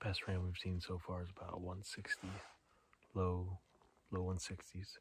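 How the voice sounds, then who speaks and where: A man's very deep, low voice, dry with no echo, with light background noise. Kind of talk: casual vlog chat. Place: open country. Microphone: phone near.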